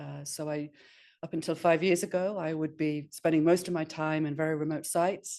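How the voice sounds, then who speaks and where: Against a quiet background, a woman talks at a fairly quick pace with a northeast England accent. Her very deep, low pitch carries a dark, mellow tone and a monotone, flat intonation. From northeast England, Sunderland. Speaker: astronomer and professor. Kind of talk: webinar talk. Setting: webinar. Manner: informal, hesitant with many fillers.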